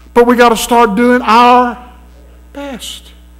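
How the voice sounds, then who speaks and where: An animated man with a Southern US accent speaks in an extremely high pitch. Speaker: preacher. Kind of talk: sermon. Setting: church. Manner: emphatic, preaching cadence, repeated calls for amens; animated, urgent, exhorting the congregation. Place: church. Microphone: podium.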